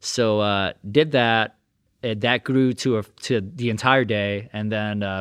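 The sound is dry and close with no echo as a man speaks at a medium pitch with fairly even intonation. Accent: New York. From Brooklyn, New York. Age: 30s. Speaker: sports massage therapist. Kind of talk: casual chat. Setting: in his massage studio.

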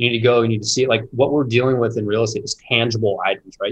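A man's very fast, somewhat breathy voice with monotone, flat intonation. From Indianapolis, US Midwest. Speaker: real estate investor. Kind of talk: casual interview.

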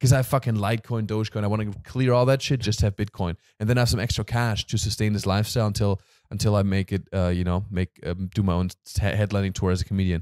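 On a very clean recording with a silent background and a dry, close sound with no echo, a man with a fairly low pitch and an animated tone speaks at a very fast pace. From Germany. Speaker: podcast host. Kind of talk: casual chat.

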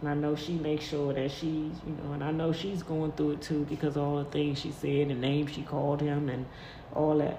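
A woman speaks in a very deep, low voice with flat, monotone intonation at a fairly quick pace. Noticeable background noise and audible room echo come through. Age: 50s. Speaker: podcast host. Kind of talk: personal monologue. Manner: halting.

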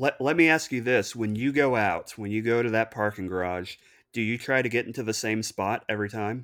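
A man at medium pitch, a plain, everyday voice, speaks at a fairly quick pace with ordinary pitch variation on a very clean recording with a silent background. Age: 30s. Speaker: licensed counselor. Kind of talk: casual interview.

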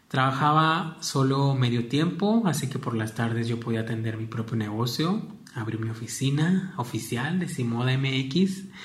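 There is audible room echo as a man talks at a fairly slow pace with ordinary pitch variation. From Mexico, Michoacán (Apatzingán). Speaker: podcast host, fashion platform founder. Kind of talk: personal monologue.

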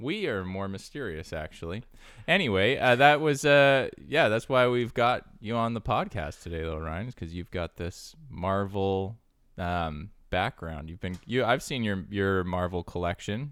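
A man speaks in a plain, everyday voice, fairly low in pitch, at a fairly slow pace with lively intonation. The recording is very clean, with a silent background. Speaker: podcast host. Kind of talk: casual chat.

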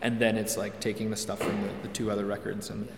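A man's fairly low voice at a very fast pace, with noticeable background noise and audible room echo. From Quebec (Hudson, west of Montreal). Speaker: singer-songwriter. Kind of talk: interview.

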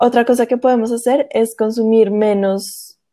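A woman speaks with fairly even intonation. Her pitch sits fairly high. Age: 20s. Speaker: cooking content creator. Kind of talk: interview conversation. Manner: hesitant fillers.

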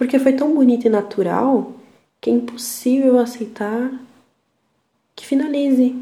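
A woman speaks at a high pitch and a fairly slow pace, with fairly even intonation. Her loudness swings widely, and she takes long, frequent pauses. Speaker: podcaster. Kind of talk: personal monologue. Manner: reflective.

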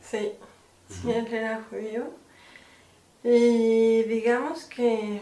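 A woman's fairly high, monotone, flat voice, very slow with long, frequent pauses, amid audible room echo and noticeable background noise. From Mexico. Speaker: film producer and director. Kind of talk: casual interview.

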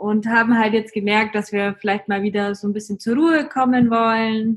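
A woman speaks at a moderate pace with fairly even intonation. Her voice is fairly high in pitch and somewhat breathy. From Germany, Augsburg (Bavarian Swabia). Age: 20s. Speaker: travel blogger. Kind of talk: casual interview.

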